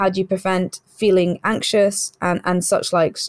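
With a British accent, a woman speaks at a moderate pace, the sound dry and close with no echo. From UK and Saudi Arabia, Indian heritage. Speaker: doctor and health insurance executive. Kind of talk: interview.

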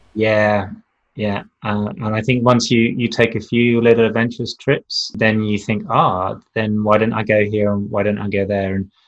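In a New Zealand accent, a man speaks with monotone, flat intonation. His pitch is fairly low and his pace moderate. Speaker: magazine publisher and lecturer. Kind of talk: casual interview chat. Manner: hesitant, many fillers.

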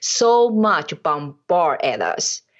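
Lively intonation marks this woman's speech, delivered with a non-native accent. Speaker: business owner, mentoring client. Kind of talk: casual interview.

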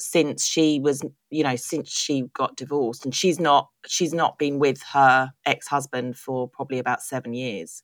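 A woman with a British accent. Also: very clean recording, silent background. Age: 40s. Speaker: podcast host, beauty editor. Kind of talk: casual interview chat.

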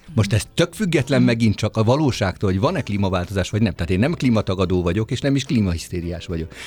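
A man speaks very fast with hardly any pauses, his fairly low pitch swinging very widely. His voice is somewhat breathy. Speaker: composer. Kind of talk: radio interview. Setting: studio.

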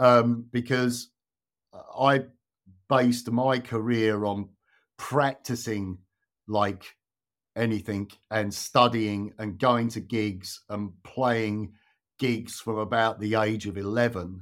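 A man with a southern English accent speaks at a very slow pace and medium pitch, with fairly even intonation and long, frequent pauses. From southern England. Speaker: guitarist. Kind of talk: casual chat.

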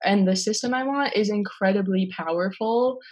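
A woman with an American accent is speaking. Her pace is moderate and her intonation fairly even. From US Midwest, South Minneapolis, Minnesota. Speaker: university student. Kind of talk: interview. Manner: casual, uses many fillers.

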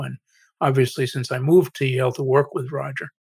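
A man with an American accent and a plain, everyday voice, fairly quick in pace and fairly even in intonation. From Massachusetts, US. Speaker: AI researcher and author. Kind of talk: interview.

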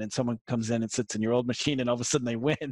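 A man with a slight Boston accent speaks at a very fast pace and a medium pitch. His intonation is monotone and flat, and the sound is dry and close with no echo. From Massachusetts, south of Boston. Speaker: marketing consultant. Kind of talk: interview. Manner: casual, hesitant with fillers.

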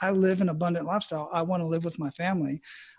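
A man's very fast, high-pitched voice with an American accent. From Arizona. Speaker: retired Army medic and life coach. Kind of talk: casual interview.

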